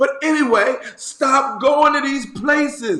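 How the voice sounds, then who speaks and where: Through noticeable background noise, a man speaks in an animated tone. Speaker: bishop, online encouragement video host. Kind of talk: casual video monologue with news commentary.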